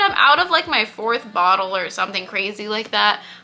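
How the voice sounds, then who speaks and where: A woman talks with lively intonation over noticeable background noise. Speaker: beauty youtuber. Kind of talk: product review vlog. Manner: fast; animated.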